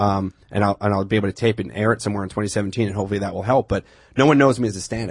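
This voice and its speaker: Very fast, somewhat breathy speech with fairly even intonation. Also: man. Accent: New York. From Long Island, New York. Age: 30s. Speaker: comedian. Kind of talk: casual chat.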